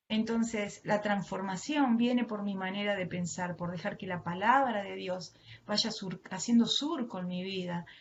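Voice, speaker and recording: With a strong Argentine accent, a woman speaks at a fairly slow pace and medium pitch, somewhat breathy, with ordinary pitch variation. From Argentina. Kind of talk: sermon. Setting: video call.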